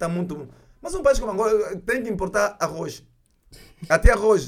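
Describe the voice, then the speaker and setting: Speaking fairly quickly, a man with a high pitch uses lively intonation. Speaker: film director. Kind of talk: interview. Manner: halting.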